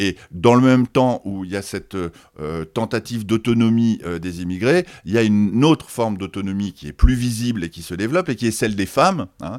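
A man's medium-pitched voice at a fairly quick pace, with big swings in loudness, on a very clean recording with a silent background. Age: 60s. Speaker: sociologist and author. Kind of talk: interview. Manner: halting, many repetitions and hesitations.

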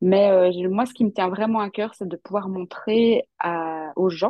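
An ordinary speaking voice, a woman talks at medium pitch with fairly even intonation. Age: 30s. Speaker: tarot content creator and former fashion designer. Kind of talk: interview.

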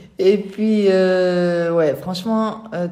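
A woman's fairly low voice comes through with audible room echo and noticeable background noise. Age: 50s. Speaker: person living with multiple sclerosis. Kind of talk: testimony. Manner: halting.

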